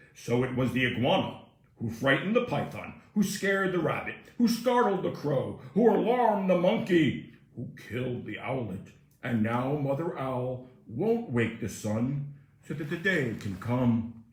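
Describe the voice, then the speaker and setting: A man puts on a character voice at a medium pitch. He talks at a moderate pace, with slight echo. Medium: read story. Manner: formal, solemn, repetitive.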